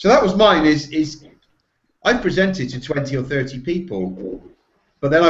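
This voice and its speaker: The delivery is somewhat breathy and fairly quick, with lively intonation. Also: man. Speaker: SEO professional. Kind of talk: casual chat. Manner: halting.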